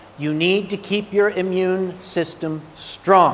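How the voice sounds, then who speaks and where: A man's voice with noticeable background noise. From North America. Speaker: convention panel speaker. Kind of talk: convention panel talk. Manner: animated.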